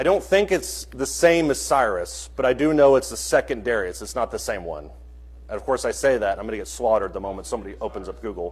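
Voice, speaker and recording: Talking at a very fast pace, a man swings widely in loudness. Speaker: Bible class teacher. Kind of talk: interactive Bible class.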